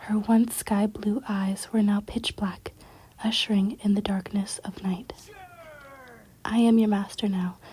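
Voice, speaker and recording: The speaker is soft-spoken, moving at a fairly slow pace with long, frequent pauses. Noticeable background noise runs underneath. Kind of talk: ASMR story reading.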